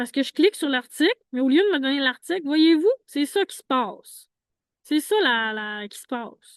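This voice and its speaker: In a dry, close recording with no echo and a quiet background, a woman speaks at a moderate pace in a high pitch. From Quebec, Saguenay–Lac-Saint-Jean. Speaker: homeless vlogger. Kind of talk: casual monologue. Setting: outdoors.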